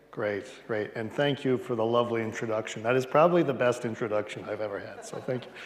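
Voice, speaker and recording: A man with a medium-pitched voice talks at a very fast pace, barely pausing, and his pitch varies in an ordinary way. Audible room echo and noticeable background noise are present. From Western Canada, Edmonton, Alberta. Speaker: palaeontologist. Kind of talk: public lecture. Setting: lecture hall with audience, livestreamed.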